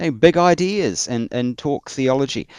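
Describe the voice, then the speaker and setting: The recording is very clean with a silent background and a dry, close sound with no echo. The speaker has a New Zealand accent. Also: man. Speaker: church historian. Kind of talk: interview. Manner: halting.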